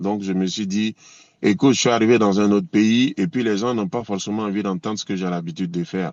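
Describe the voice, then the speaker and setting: The pace stays moderate as a man talks. His voice sits fairly low in pitch. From Côte d'Ivoire / Burkina Faso. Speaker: reggae singer. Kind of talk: interview. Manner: hesitant, many fillers.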